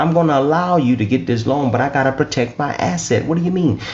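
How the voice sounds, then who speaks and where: Over noticeable background noise, a man with an American accent speaks fairly quickly in a fairly high, animated voice with very wide pitch swings. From US South, Lafayette, southern Louisiana. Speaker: business funding educator. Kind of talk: online teaching talk. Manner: repetitive.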